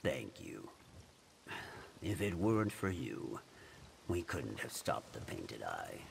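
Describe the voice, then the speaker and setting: A man puts on a character voice at a fairly slow pace, with long, frequent pauses. Background noise is clearly heard. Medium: video game. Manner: dry, weary, deadpan.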